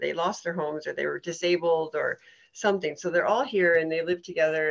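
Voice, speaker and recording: At a moderate pace, a woman talks in a fairly low pitch with an ordinary speaking voice. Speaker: horse herd keeper and interviewer. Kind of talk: interview question.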